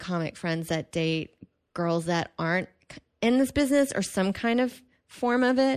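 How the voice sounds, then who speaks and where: Over a quiet background, a woman talks with lively intonation. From Texas, Houston suburb of Kingwood. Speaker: comedian. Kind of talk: casual chat.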